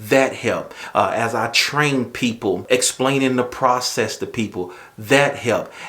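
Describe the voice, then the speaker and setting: Speaking with a strong Southern US accent, a man keeps a fairly slow pace with hardly any pauses. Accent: strong Southern drawl. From US South. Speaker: YouTuber, manager and assistant pastor. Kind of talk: casual vlog talk. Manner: conversational, with fillers.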